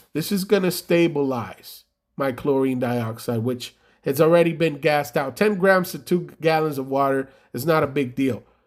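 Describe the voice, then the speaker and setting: A man with a strong Spanish accent speaks in an animated tone at a moderate pace in a very clean recording with a silent background. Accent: heavy Spanish. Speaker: carpet cleaning business owner. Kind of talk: casual tutorial vlog.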